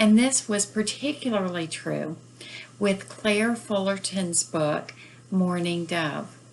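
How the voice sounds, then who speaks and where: With an American accent, a woman speaks very slowly at a medium pitch and with lively intonation, over noticeable background noise. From northern US. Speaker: book reviewer and author. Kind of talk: book review. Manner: hesitant, many fillers.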